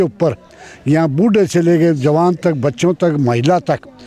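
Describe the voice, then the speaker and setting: Over noticeable background noise, a man talks at a fairly high pitch. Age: 70s. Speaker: local resident, friend of interviewee. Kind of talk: interview.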